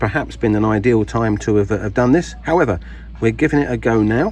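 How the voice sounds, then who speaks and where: A man in a British accent talks at a moderate pace. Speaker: gardening video maker. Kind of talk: casual tutorial. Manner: halting, many fillers.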